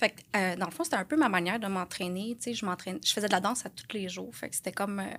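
A normal speaking voice from a woman at medium pitch, with ordinary pitch variation, a fairly quick pace and hardly any pauses. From Quebec, Lanaudière. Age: 30s. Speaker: correctional officer, fitness coaching client. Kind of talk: casual interview.

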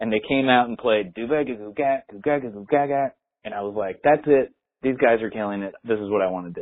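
A man's medium-pitched, normal speaking voice at a moderate pace, with ordinary pitch variation. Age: 30s. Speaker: professional drummer. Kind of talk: casual chat.

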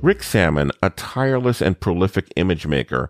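A man with a very deep, low pitch uses lively intonation and vocal fry, the sound dry and close with no echo. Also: very clean recording, silent background. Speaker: podcast host. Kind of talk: interview.

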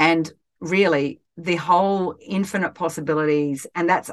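In an Australian accent, a woman speaks at a moderate pace with fairly even intonation. The background is quiet. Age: 50s. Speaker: life coach and podcast host. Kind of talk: solo podcast talk.

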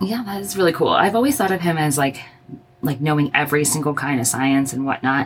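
Amid noticeable background noise, a woman with an American accent talks at a very fast pace, her very deep, low voice carried by lively intonation. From Arizona. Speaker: occupational therapist and podcast host. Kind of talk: casual chat.

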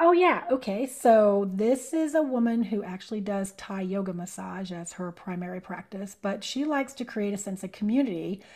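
A normal speaking voice at a moderate pace, with lively intonation, big swings in loudness and hardly any pauses. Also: woman, medium pitch for a woman. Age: 50s. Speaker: sound healing practitioner. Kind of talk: casual interview.

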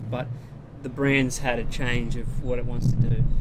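With an Australian accent, a man speaks in a flat monotone, with audible room echo and noticeable background noise. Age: 30s. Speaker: big wave surfer. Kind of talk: casual chat.

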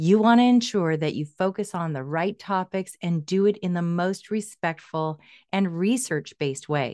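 A woman with an unremarkable speaking voice talks at a fairly low pitch with ordinary pitch variation, and the background is quiet. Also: moderate pace. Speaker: podcast host. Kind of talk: interview.

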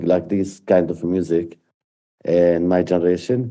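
In an Arabic accent, a man with a dark, mellow tone speaks at a fairly slow pace with fairly even intonation. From Palestine, Jerusalem area. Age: 50s. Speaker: peace activist. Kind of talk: personal testimony.

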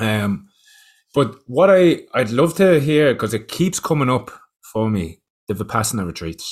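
In a very clean recording with a silent background, a man with an Irish accent talks fairly slowly at medium pitch, his pitch swinging very widely. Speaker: podcast host.

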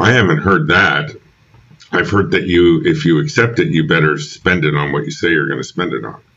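A man talks with a very deep, low pitch in an American accent. His intonation is lively. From New York. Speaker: film graduate turned IT professional. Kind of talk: casual chat. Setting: video call.

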